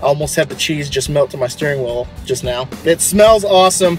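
Over faint background music, a man talks at a fairly quick pace with ordinary pitch variation and a dry sound with no echo. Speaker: food reviewer. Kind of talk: casual vlog chat. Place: car. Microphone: phone near.

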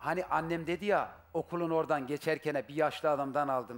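A man speaks in an animated tone at a moderate pace, his pitch fairly high. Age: 40s. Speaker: husband seeking his wife on a TV show; talk show guest. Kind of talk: emotional testimony. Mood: upset, aggrieved. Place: studio. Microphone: headset.

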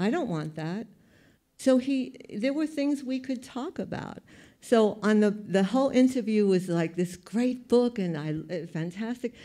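In a New York accent, a woman speaks at a moderate pace in a dark, mellow tone against a quiet background. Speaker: photographer; panelist. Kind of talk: panel talk. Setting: stage with audience. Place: hall. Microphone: handheld.

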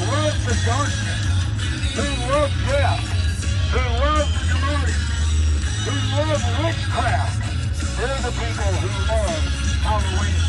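Loud music plays in the background. A man talks over it at a very slow pace. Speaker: street preacher. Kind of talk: open-air sermon. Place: street. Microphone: phone near.

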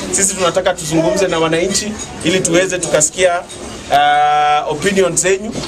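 Over noticeable background noise, a man talks at a moderate pace, his pitch varying in an ordinary way. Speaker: campaign politician. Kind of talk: campaign address to a crowd. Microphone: phone near.

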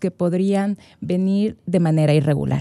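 Against a quiet background, a woman speaks at a fairly slow pace. Her tone is dark and mellow. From Ecuador. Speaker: guest. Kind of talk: interview. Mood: calm, explanatory. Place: studio. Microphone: studio mic.

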